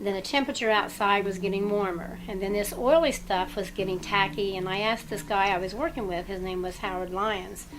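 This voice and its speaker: With music in the background, a woman with an American accent speaks at a fairly quick pace with hardly any pauses, her medium pitch showing ordinary variation. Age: 60s. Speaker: former nuclear plant worker. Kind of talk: interview testimony. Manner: halting.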